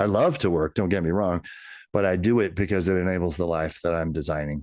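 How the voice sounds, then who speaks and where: This man talks very fast with an American accent. His pitch is very deep and low, and the background is quiet. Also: ordinary pitch variation, very even loudness. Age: 60s. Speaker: business executive and author. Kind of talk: podcast interview. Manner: halting.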